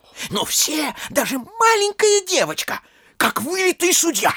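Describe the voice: Using a put-on character voice, a man speaks at a fairly slow pace with an extremely high pitch, a bright, sharp tone and very wide pitch swings.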